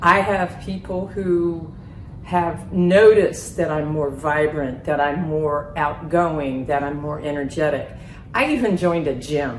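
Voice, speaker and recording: Speaking at a fairly slow pace, a woman with a very deep, low pitch is heard through audible room echo and noticeable background noise. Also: ordinary pitch variation. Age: 60s. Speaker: weight loss patient. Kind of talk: testimonial interview. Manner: animated.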